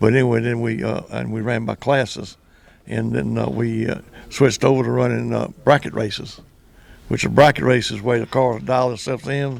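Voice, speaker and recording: A man speaks at a moderate pace with a Southern US accent. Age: 80s+. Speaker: former drag racer and track announcer. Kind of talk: casual interview. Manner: halting.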